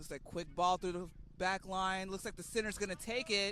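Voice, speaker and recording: In a raised, projected voice, a man speaks at a high pitch with a bright, sharp tone. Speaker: rugby commentator. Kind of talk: live commentary.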